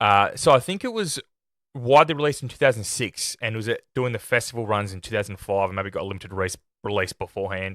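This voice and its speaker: Delivered at a very fast pace with ordinary pitch variation, the voice has a dry, close sound with no echo on a very clean recording with a silent background. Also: man, medium pitch for a man. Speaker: film review podcaster. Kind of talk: casual chat, unscripted podcast review. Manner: halting, with self-corrections.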